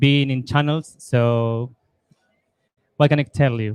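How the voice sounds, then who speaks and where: A man at medium pitch with fairly even intonation and an Argentine accent, in dry, close sound with no echo. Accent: Argentine Spanish, noticeable. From Argentina. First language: Spanish. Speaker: lightning developer and entrepreneur. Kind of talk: panel discussion.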